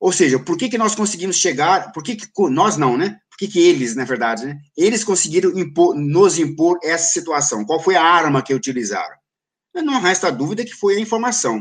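Over a quiet background, a man with a high pitch talks at a moderate pace through very wide pitch swings. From Brazil, São Paulo city. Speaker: journalist and political analyst. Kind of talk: interview. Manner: halting.

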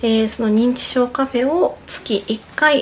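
A woman's fairly high voice with ordinary pitch variation at a fairly slow pace, amid noticeable background noise. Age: 30s. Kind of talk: radio interview. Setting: studio.

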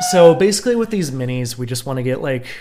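A man's voice, full of lively intonation, rises over noticeable background noise. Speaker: podcast co-host. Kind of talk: casual chat.

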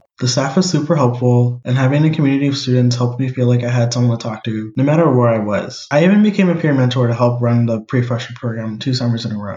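A man with an American accent talks at a very fast pace, barely pausing, in a somewhat breathy voice. His pitch sits in the medium range and moves with ordinary variation. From US Northeast and Cleveland, Ohio. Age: 20s. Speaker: podcast co-host. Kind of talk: personal narrative monologue.

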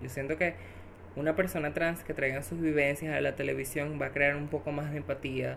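The voice carries vocal fry. Its pitch varies in an ordinary way. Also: woman. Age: 20s. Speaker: social communicator. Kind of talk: interview.

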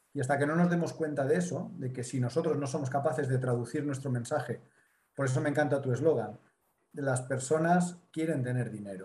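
A man speaks with a Spanish accent at a fairly quick pace. His voice is fairly high and somewhat breathy. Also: ordinary pitch variation. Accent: Spanish (Spain). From Mediterranean Spain. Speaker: business consultant and speaker. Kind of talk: interview.

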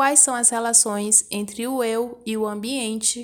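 A woman speaks with a normal speaking voice at a fairly high pitch and a fairly slow pace. The recording is very clean, with a silent background. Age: 20s. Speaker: podcast host, dance teacher and embroiderer. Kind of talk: personal monologue podcast.

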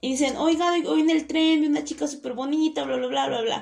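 Here a woman is speaking. She has a Mexican accent. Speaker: podcast co-host. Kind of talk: casual chat.

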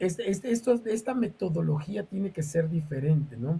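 The man's voice is fairly high in pitch, with a dark, mellow tone. He speaks at a fairly slow pace. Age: 50s. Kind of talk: interview. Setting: live stream.

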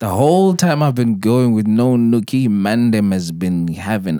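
On a very clean recording with a silent background, a man with a dark, mellow tone and a medium pitch speaks at a moderate pace with very wide pitch swings. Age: 40s. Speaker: podcast host. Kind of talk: casual chat. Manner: laughs a lot.

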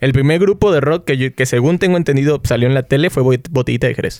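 Speaking at a very fast pace, a man with a fairly high pitch and ordinary pitch variation is heard in a dry, close sound with no echo. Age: 20s. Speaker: podcast host. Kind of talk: casual chat.

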